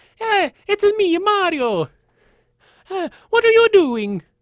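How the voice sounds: A put-on character voice with an Italian accent speaks at an extremely high pitch and a fairly slow pace. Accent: stereotypical Italian.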